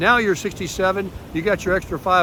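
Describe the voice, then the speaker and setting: A man's raised, projected voice, high in pitch, at a fairly quick pace with fairly even intonation, over noticeable background noise. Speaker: retiree vlogger. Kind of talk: casual vlog monologue. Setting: outdoors on a beach.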